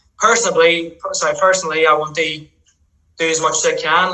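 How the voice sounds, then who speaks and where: In a strong Northern Irish accent, a man talks at a fairly quick pace with a high pitch and monotone, flat intonation. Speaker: futsal player, national team captain. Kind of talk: podcast interview.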